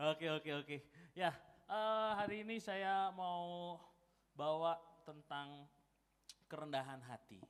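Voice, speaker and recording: A man speaks with a Javanese accent at a high pitch. He goes very slowly, leaving long, frequent pauses. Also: ordinary pitch variation. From East Java, Malang. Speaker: guest preacher. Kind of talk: sermon. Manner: casual, conversational.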